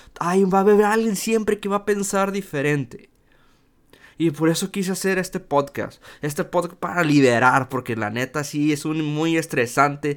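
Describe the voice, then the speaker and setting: Lively intonation marks a man's fairly high voice at a moderate pace, recorded very cleanly against a silent background. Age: 20s. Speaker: podcaster. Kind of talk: casual monologue. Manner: halting.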